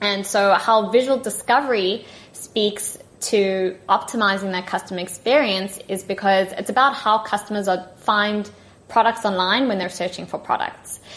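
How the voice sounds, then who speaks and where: In a South African accent, a woman speaks with fairly even intonation. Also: medium pitch for a woman, moderate pace. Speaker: tech partnership manager. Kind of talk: podcast interview. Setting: remote call.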